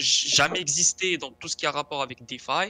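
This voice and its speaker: A man's bright, sharp tone in a dry, close sound with no echo. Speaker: crypto enthusiast. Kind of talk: tutorial.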